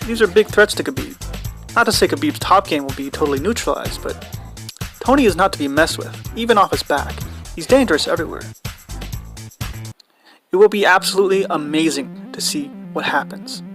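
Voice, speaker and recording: Long, frequent pauses run through the speech while music plays in the background. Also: fairly quick pace. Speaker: animator and MMA analyst. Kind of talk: YouTube analysis voiceover.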